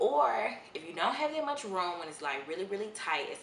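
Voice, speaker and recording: A woman at a fairly quick pace with very wide pitch swings, audible room echo and noticeable background noise. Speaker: media correspondent, on-camera host. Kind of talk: vlog tips talk. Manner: loud; casual.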